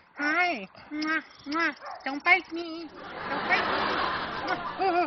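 A cartoonish character voice, high-pitched and upbeat in tone, moves along at a very slow pace. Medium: puppet. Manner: upbeat, excitable.

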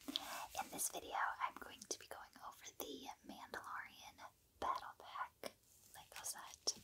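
Very slowly, a woman whispers. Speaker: ASMR creator. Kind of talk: casual product review to camera. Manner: whispered.

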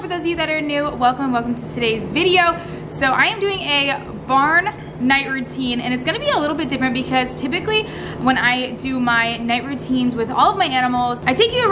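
The speaker uses a raised, projected voice at a fairly quick pace. Noticeable background noise can be heard. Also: woman. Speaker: farm vlogger. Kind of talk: casual vlog chat. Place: farm machine. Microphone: phone near.

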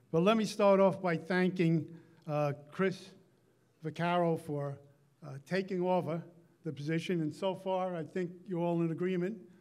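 At a moderate pace, a man speaks with a high pitch, a slightly mellow tone and fairly even intonation.

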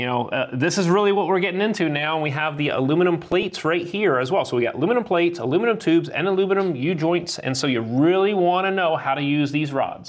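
A man speaks at high pitch and a very fast pace. He uses hardly any pauses. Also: ordinary pitch variation. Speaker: HVAC instructor. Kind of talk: tutorial. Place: classroom. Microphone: lapel.

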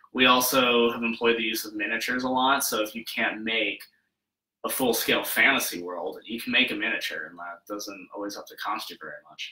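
The speech runs at a fairly quick pace with ordinary pitch variation and big swings in loudness. Audible room echo surrounds it. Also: man. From Wyoming, US. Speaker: makeup effects artist; guest. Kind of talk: casual interview. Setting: his studio, live. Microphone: webcam.

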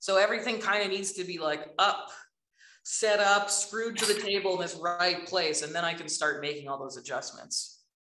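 A woman's speech comes at a moderate tempo, her pitch varying in an ordinary way, with noticeable noise behind her. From Alberta, Canada. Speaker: artist and professor; professor. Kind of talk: casual talk. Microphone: video call.

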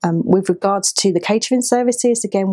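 At a moderate pace, a woman speaks with a dark, mellow tone over a quiet background. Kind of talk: interview answer. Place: office.

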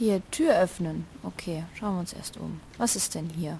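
At a moderate pace, a woman with a fairly low pitch and a dark, mellow tone speaks with vocal fry and ordinary pitch variation.

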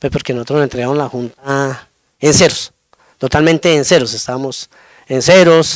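Intonation stays fairly even while the delivery keeps a moderate pace. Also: man, fairly high pitch for a man. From Colombia, Cundinamarca (Gachancipá). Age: 40s. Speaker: community council president. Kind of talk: interview. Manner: halting, with repetitions.

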